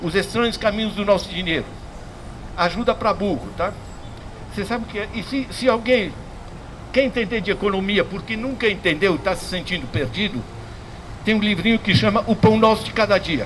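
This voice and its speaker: A man's high voice at a moderate pace, with ordinary pitch variation and long, frequent pauses, amid noticeable background noise and audible room echo. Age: 70s. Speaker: economics professor. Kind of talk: public lecture. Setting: public class before audience. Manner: casual, repetitive with hesitations.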